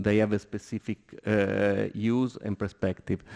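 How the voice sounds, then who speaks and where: A man's medium-pitched voice with an Italian accent, a dark, mellow tone and fairly even intonation, in a dry, close sound with no echo. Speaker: architect on a seminar panel. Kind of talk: panel discussion. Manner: halting, many hesitations.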